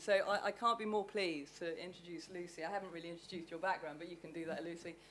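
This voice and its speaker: Racing along with hardly any pauses, a woman speaks at a fairly low pitch with ordinary pitch variation and big swings in loudness. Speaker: event host. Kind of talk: live event introductions. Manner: loud, projects voice.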